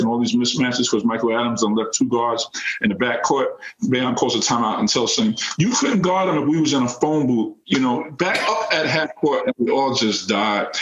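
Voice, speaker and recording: Speaking with an American accent at a medium pitch, a man keeps a fairly quick pace, lively intonation and very even loudness over noticeable background noise. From New York City (Queens). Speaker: former college basketball player and youth coach. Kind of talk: interview.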